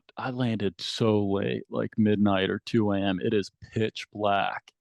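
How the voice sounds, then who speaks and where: In a normal speaking voice with an American accent, a man at a fairly low pitch talks at a fairly slow pace, the sound dry and close with no echo against a quiet background. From Chicago, US Midwest. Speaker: pro scooter rider. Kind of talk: casual chat.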